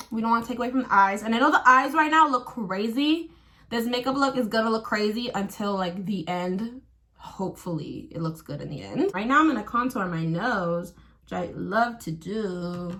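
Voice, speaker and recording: A woman speaks at a moderate pace with a fairly high pitch, lively intonation and big swings in loudness. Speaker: astrologer and tarot reader. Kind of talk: casual get-ready-with-me vlog. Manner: casual, filler-heavy.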